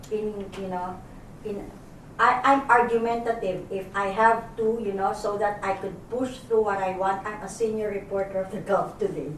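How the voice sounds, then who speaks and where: With audible room echo and noticeable background noise, a woman speaks at a medium pitch using fairly even intonation. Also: moderate pace. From Philippines. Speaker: journalist. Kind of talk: group discussion. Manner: halting.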